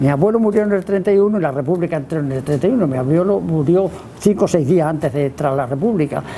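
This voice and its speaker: A man with a fairly high voice rushes along at a very fast pace, his intonation lively, as noticeable noise runs in the background. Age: 90s. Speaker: author. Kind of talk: book presentation talk. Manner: halting, with many repetitions and fillers.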